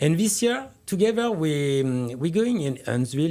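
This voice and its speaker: A man with a French accent, dark, mellow tone, very wide pitch swings and a moderate pace. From France. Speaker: winemaker. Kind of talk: radio interview.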